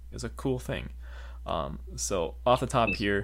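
Speaking at a fairly slow pace, a man shows lively intonation and vocal fry. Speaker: podcast co-host. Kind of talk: casual chat. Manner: halting.

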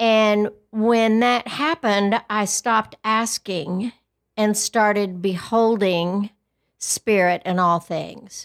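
Speaking at a very slow pace with a West Texas accent, a woman of fairly high pitch shows ordinary pitch variation in a very clean, dry, close recording with a silent background and no echo. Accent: West Texas drawl. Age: 60s. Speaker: podcast co-host. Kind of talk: casual chat.

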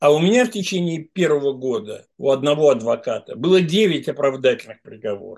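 A man talks at a fairly quick pace with hardly any pauses. His pitch swings very widely. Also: fairly high pitch for a man. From Russia, St Petersburg. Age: old. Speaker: lawyer. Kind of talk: interview.

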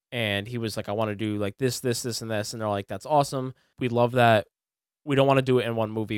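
The man's voice sits at a medium pitch and moves at a very fast pace. The sound is dry and close, with no echo. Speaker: podcast co-host. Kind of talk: casual chat. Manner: laughs often.

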